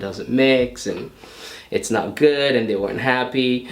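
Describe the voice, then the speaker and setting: A man in a relaxed tone with an American accent, at a moderate pace, with audible room echo and noticeable background noise. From New York, US. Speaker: bodybuilder and fitness trainer. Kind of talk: casual Q&A to camera. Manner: relaxed, with many fillers.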